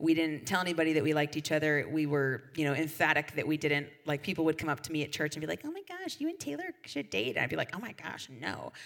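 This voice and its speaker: Over noticeable background noise, a woman speaks at a very fast pace with hardly any pauses. Her pitch is very deep and low. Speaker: youth pastor. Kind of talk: sermon. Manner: animated.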